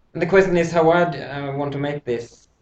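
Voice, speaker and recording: Somewhat breathy, the speaker talks at a moderate pace with a non-native accent. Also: man. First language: not English. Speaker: sewing instructor. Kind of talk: tutorial. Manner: halting.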